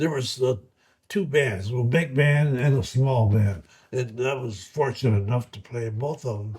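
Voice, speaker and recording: The man's voice has a somewhat breathy quality. He talks fairly slowly. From US Midwest, Ohio. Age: 80s+. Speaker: war veteran. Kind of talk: oral history interview. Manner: halting.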